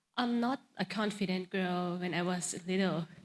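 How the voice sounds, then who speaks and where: A woman with a Thai accent speaks at a fairly slow pace, her somewhat breathy voice holding a fairly even intonation. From Thailand. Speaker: pageant contestant. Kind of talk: interview Q&A. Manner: halting.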